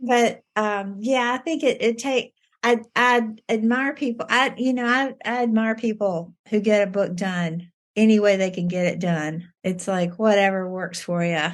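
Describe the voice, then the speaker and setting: A woman with a Southern US accent at a fairly slow pace, with ordinary pitch variation. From US South, Virginia. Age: 60s. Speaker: debut novelist. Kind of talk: interview. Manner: halting, many repetitions and fillers.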